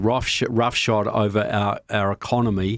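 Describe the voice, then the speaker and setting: With a New Zealand accent, a man speaks at a fairly low pitch. His intonation is monotone and flat. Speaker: political filmmaker and author. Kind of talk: podcast interview.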